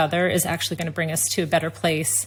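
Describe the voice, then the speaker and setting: A woman speaks with an American accent at a fairly low pitch. Vocal fry runs through her voice. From United States. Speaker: tech company executive. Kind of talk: interview conversation. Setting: video call.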